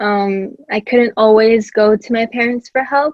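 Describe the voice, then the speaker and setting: In a Spanish accent, a woman with a fairly high pitch speaks at a fairly slow pace in monotone, flat intonation. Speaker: podcast guest. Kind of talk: casual chat.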